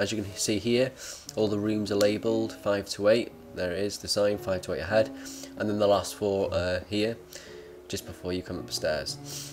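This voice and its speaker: A man's fairly low voice moves at a moderate pace, its pitch varying in an ordinary way, with music playing behind him. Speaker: video gamer. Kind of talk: casual game commentary. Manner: hesitant, many fillers.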